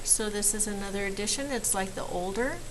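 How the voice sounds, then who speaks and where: Speaking at a fairly quick pace with ordinary pitch variation, a woman is heard over noticeable background noise and audible room echo. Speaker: math teacher. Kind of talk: recorded lesson for students.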